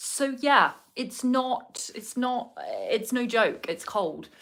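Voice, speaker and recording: A woman with a southern English accent speaks with ordinary pitch variation. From southern England. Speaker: vlogger. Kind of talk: casual chat. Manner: chatty, with many fillers.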